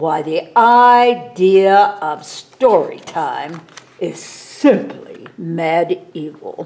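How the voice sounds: Delivered very slowly, this put-on character voice has a slightly mellow tone and lively intonation. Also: woman, fairly low pitch for a woman.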